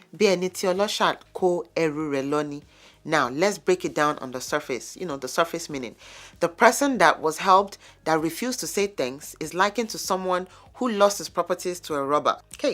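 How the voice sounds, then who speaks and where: A woman's fairly low voice with a Yoruba accent, lively intonation, big swings in loudness and a moderate pace, in a very clean recording with a silent background. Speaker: lifestyle vlogger. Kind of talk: vlog monologue. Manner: conversational.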